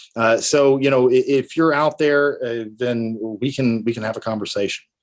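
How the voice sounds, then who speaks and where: A man with a Tennessee accent, medium in pitch, at a moderate pace and with fairly even intonation. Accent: Tennessee country. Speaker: estate planning attorney. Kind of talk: interview. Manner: halting, many fillers.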